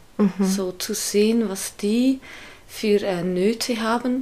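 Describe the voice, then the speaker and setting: This woman has a Swiss German accent and a medium pitch. Her intonation stays fairly even. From Switzerland. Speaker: street evangelist. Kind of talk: interview.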